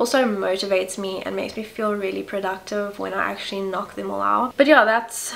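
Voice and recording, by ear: Over faint background noise, a woman speaks at medium pitch with a fairly bright tone and vocal fry.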